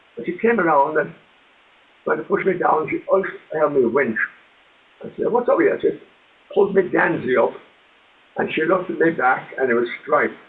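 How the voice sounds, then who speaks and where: This man speaks with a Limerick accent. His speech has long, frequent pauses. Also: fairly quick pace. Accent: Irish (Limerick). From Ireland, Limerick. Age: 80s+. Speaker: author and ex-soldier. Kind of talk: interview storytelling.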